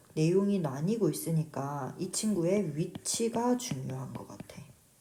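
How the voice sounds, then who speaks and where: A woman's dark, mellow voice, fairly low in pitch, with audible room echo. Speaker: English teacher. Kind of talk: lecture.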